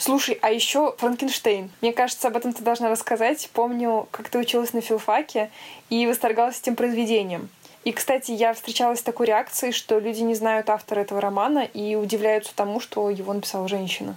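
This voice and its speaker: A woman talks at a fairly quick pace in a fairly high pitch with monotone, flat intonation. Noticeable background noise is present. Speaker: podcast co-host. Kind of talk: casual chat. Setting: video call.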